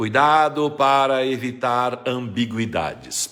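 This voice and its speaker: A man speaks at a medium pitch. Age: 60s. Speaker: retired Portuguese grammar teacher. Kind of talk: live stream Q&A lesson. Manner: didactic.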